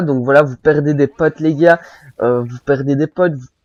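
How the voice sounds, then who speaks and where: Music plays in the background as a man speaks with fairly even intonation, the sound dry and close with no echo. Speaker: gaming commentator. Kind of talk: gameplay commentary, casual advice monologue. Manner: casual, hesitant with many fillers.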